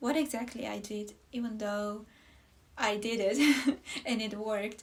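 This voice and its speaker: A woman's fairly high voice with a non-native accent, fairly even intonation and a moderate pace over noticeable background noise. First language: not English. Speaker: knitwear designer. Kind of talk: casual podcast talk. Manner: halting, many fillers.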